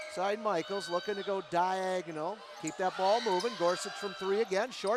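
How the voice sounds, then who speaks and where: A high-pitched man's voice against noticeable background noise. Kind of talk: live sports play-by-play commentary. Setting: gym, high school basketball game broadcast.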